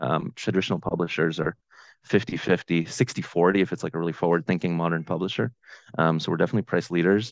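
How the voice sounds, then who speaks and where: Against a quiet background, a man talks at a very fast pace with a very deep, low pitch and ordinary pitch variation, the sound dry and close with no echo. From Ukraine. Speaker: startup founder. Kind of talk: casual interview.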